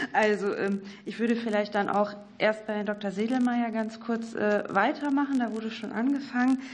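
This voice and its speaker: A woman at a fairly high pitch and moderate pace, fairly even in intonation, over noticeable background noise. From North Rhine-Westphalia. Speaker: member of parliament. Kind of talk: questions at a parliamentary hearing. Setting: parliamentary committee hearing room.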